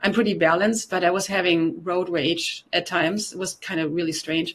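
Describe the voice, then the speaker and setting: A woman with a slight German accent talks at a fairly quick pace with fairly even intonation and fairly low pitch, over noticeable background noise. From Germany. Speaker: detoxification specialist and yoga teacher. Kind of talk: interview testimony.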